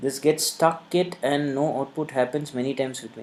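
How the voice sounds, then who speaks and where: A woman speaks with a Tamil accent at a moderate pace. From India, Tamil Nadu. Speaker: programming instructor. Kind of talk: live coding tutorial webinar. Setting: live online session. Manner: conversational, many fillers.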